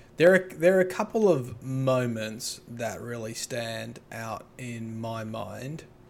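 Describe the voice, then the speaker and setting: A man with an Australian accent speaks at a very slow pace with lively intonation and big swings in loudness, music playing in the background. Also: medium pitch for a man. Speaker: occupational therapist and YouTuber. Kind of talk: casual chat.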